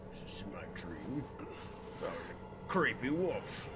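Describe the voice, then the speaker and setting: Over loud background noise, a man puts on a character voice at a fairly high pitch and a fairly slow pace. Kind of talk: in-character role-play voice. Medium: game stream.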